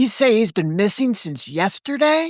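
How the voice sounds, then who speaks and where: Using a put-on character voice with very wide pitch swings, the speaker goes at a moderate pace in a dry, close sound with no echo. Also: woman. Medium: read story. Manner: calm, decisive.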